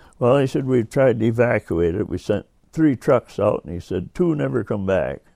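A man's medium-pitched voice in an American accent, with very wide pitch swings, vocal fry and a moderate pace, over a quiet background. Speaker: war veteran. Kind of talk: elder life story, oral-history recollection told in casual spoken style. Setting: interview at his home.

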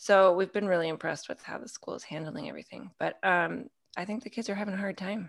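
Speaking at a very fast pace, a woman with a medium pitch and vocal fry shows ordinary pitch variation and big swings in loudness. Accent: American. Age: 40s. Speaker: women's ministry mentor. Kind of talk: casual chat. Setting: video call.

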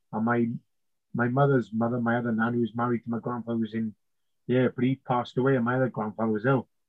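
A very fast pace in a South Wales Valleys accent, with monotone, flat intonation. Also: man, medium pitch for a man. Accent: Welsh (South Wales valleys). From Wales, South Wales valleys. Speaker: navy submariner and trainer. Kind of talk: interview conversation.

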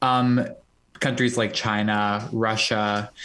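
The speaker is a man. He talks with monotone, flat intonation. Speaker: student and pro-democracy activist. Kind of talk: remote interview.

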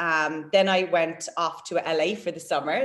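A woman's fairly low voice in a Waterford Irish accent. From Ireland, Waterford. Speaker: personal trainer and bodybuilder. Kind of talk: casual chat.

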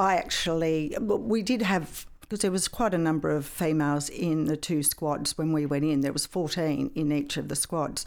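A woman with an Australian accent and a very deep, low voice speaks at a moderate pace with ordinary pitch variation and hardly any pauses, on a very clean recording with a silent background. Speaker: retired police sergeant. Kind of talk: interview.

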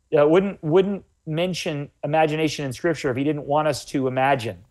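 Moderate pacing and ordinary pitch variation from a man with an ordinary speaking voice, his pitch fairly high. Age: 40s. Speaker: health author. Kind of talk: interview.

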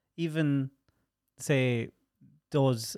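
In an Irish accent, a man speaks at a medium pitch, the sound dry and close with no echo and the recording very clean against a silent background. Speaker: podcast host. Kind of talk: casual chat. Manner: animated.

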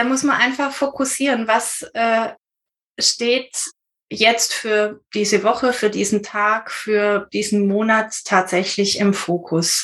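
A woman with a fairly high voice speaks at a very slow pace, with ordinary pitch variation and very even loudness. The background is quiet. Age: 50s. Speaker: intensive care nurse and student. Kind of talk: interview.

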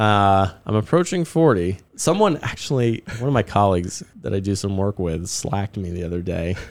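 A man with an American accent and a plain, everyday voice speaks at a moderate pace, fairly low in pitch with ordinary pitch variation, on a very clean recording with a silent background. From third culture kid, American family raised abroad incl. Singapore. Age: 30s. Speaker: startup community organizer. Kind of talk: casual chat. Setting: studio.

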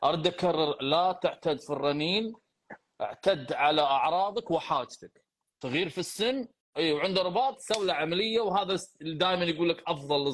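In a normal speaking voice, a man keeps a moderate pace and ordinary pitch variation. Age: 40s. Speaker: physiotherapist and podcast host. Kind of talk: live Q&A. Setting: live stream.

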